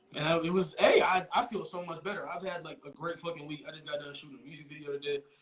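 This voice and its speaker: A man with an American accent and a high pitch talks at a very fast pace with hardly any pauses and big swings in loudness, over noticeable background noise. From Texas (Dallas area). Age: 20s. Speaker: rapper. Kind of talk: casual chat. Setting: live video interview. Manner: animated.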